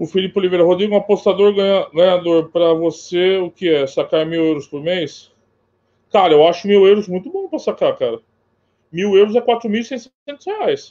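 A man speaking at a moderate pace, high-pitched, with ordinary pitch variation. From São Paulo, Brazil. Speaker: sports betting tipster. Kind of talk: casual chat.

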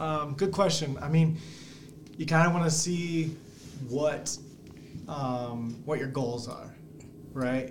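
Amid audible room echo, a man with a fairly high pitch and ordinary pitch variation speaks very slowly, with long, frequent pauses. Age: 30s. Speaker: small business founder. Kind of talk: podcast interview. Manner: casual, laughing often.

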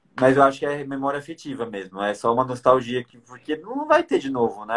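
An ordinary speaking voice at a moderate pace. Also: man. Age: 20s. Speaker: podcast host. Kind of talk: casual chat.

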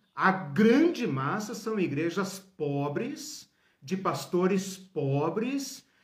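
The man's voice swings very widely in pitch. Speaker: Bible teacher. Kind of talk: lecture.

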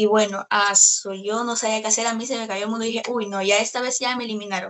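The voice belongs to a woman. It sits fairly high in pitch. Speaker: singer and celebrity impersonator. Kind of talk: interview.

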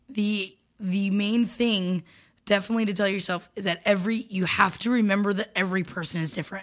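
A woman with an American accent and a plain, everyday voice speaks fairly quickly at a medium pitch with fairly even intonation. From Florida. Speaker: comedy podcast co-host. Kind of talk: casual chat and advice.

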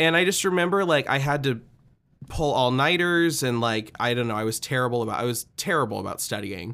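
With an American accent, the speaker talks at a fairly quick pace in an animated, bright, sharp tone, captured in a very clean recording over a silent background. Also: man. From Nebraska. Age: 20s. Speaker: podcast host and musician. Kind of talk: casual interview chat. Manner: animated, frequent laughter.

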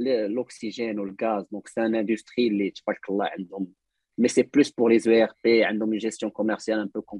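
In a dry, close recording with no echo, a man talks at a fairly quick pace with hardly any pauses, using a fairly low pitch, a dark, mellow tone and flat, monotone intonation. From Morocco. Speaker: software developer. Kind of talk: casual interview. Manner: frequent code-switching Arabic and French.

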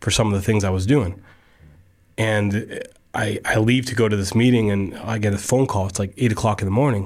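In a very clean recording with a silent background, a man with an American accent talks at a fairly low pitch and a fairly quick pace. He has an ordinary speaking voice with fairly even intonation. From Central Florida. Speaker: food entrepreneur, former pro golfer. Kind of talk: casual interview.

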